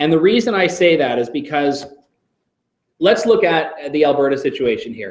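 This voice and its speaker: Using an unremarkable speaking voice, a man talks at a moderate pace with a fairly high pitch. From Canada. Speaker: radio host. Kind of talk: Q&A session with students.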